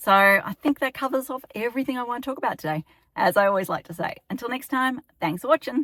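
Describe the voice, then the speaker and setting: A woman with an Australian accent at a very fast pace, very clean recording with a silent background, dry and close with no echo. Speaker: town planner. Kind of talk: informational vlog.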